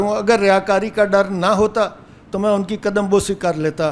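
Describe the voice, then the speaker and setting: A man's high-pitched voice with monotone, flat intonation. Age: 70s. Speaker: course student. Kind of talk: speech at certificate ceremony.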